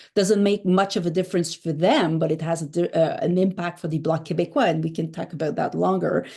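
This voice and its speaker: A speaker with a Quebec accent and a dark, mellow tone talks at a fairly quick pace. Pitch varies in an ordinary way over a quiet background. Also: woman. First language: French. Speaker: political journalist. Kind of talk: interview. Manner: hesitant, many fillers.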